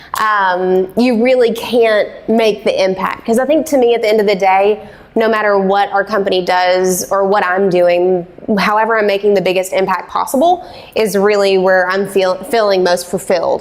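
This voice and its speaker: A woman at medium pitch, fairly even intonation, very even loudness and a moderate pace, with noticeable background noise. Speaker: business owner and agency CEO. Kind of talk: interview talk at a live event. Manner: casual, many fillers.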